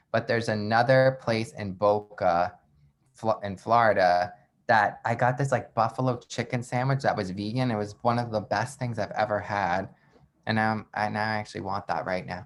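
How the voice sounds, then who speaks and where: A man's fairly low, ordinary speaking voice at a moderate pace, with fairly even intonation. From Long Island, New York. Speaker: entrepreneur. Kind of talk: casual chat. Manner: casual, filler-heavy speech.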